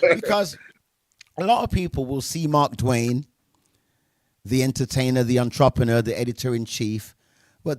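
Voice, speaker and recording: A man with a medium-pitched voice speaks at a moderate pace in an animated tone with lively intonation, recorded very cleanly against a silent background with a dry, close sound and no echo. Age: 60s. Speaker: DJ and music show host. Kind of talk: casual interview chat.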